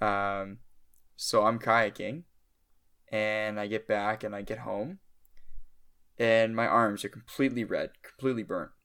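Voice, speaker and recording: Fairly low in pitch with a bright, sharp tone, a man speaks at a fairly slow pace with long, frequent pauses. His intonation is fairly even, and the recording is very clean with a silent background. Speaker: podcast co-host. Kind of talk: casual chat.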